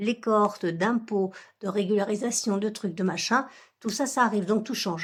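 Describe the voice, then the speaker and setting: On a very clean recording with a silent background, a woman speaks in a fairly high, somewhat breathy voice. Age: 60s. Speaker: budgeting vlogger. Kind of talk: casual vlog talk to viewers. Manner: hesitant, many fillers.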